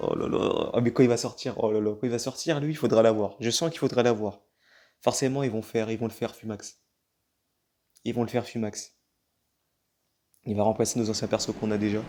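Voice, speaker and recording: A man speaks fairly quickly with a dark, mellow tone at medium pitch and fairly even intonation. He leaves long, frequent pauses, and the recording is very clean with a silent background. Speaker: gaming YouTuber. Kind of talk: gameplay commentary.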